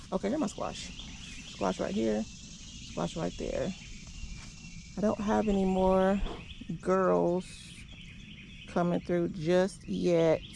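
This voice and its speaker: A woman speaks at a very slow pace. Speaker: home gardener vlogger. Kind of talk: casual garden tour vlog. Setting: outdoors in garden. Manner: chatty with fillers.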